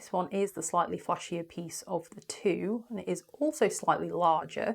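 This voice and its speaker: A woman with a British accent speaks at medium pitch with ordinary pitch variation. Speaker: small crystal shop owner. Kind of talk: product showcase. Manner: animated.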